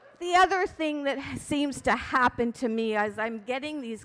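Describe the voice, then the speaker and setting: Noticeable background noise accompanies a woman talking at a high pitch. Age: 70s. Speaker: amateur stand-up comedian. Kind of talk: stand-up. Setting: stage with audience.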